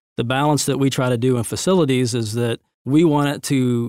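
An ordinary speaking voice from a man, medium in pitch with fairly even intonation, on a very clean recording with a silent background. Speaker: facilities director at church. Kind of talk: casual interview.

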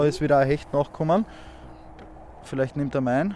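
This is a man speaking. He talks with a Styrian accent. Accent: Austrian (Styrian) German. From Austria, Graz (Styria). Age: 30s. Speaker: angler. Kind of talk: casual chat and fishing instruction. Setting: outdoors on a small boat on a lake.

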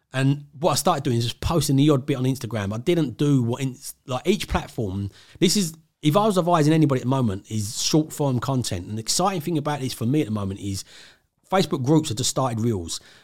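A man speaks at a very fast pace with lively intonation and a fairly high pitch, on a very clean recording with a silent background. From southeast England (Essex, grew up near London). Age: 40s. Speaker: property investor. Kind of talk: casual interview.

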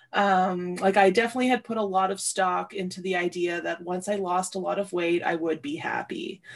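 A woman with a Canadian accent and an ordinary speaking voice talks at a medium pitch with fairly even intonation. Her pace is fairly quick, with hardly any pauses. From Ontario, Canada (Sudbury). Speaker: podcast guest sharing personal experience. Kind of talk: casual chat.

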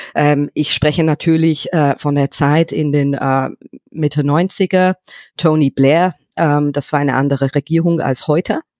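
In an English accent, a woman with a very deep, low voice talks at a fairly slow pace with fairly even intonation and very even loudness, on a very clean recording with a silent background. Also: dry, close sound with no echo. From England, London. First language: English (speaking German). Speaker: entrepreneur. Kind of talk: interview. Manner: halting.

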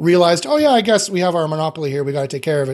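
A man with a fairly high-pitched voice speaks in a Canadian accent. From Canada, Winnipeg. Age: 40s. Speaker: AI consultant. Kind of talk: interview.

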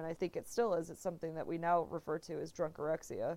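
Her voice is fairly low for a woman, moving at a very fast pace with monotone, flat intonation in an American accent. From Texas. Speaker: writer. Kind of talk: interview.

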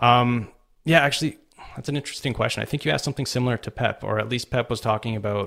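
A man talks at a medium pitch with ordinary pitch variation, recorded very cleanly over a silent background. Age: 30s. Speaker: copywriter and marketing consultant. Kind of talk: casual interview. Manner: hesitant, many fillers.

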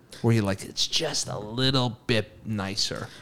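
This man has an ordinary speaking voice with an American accent. His pitch is medium, with ordinary variation. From Massachusetts. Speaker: podcast co-host. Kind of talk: casual chat.

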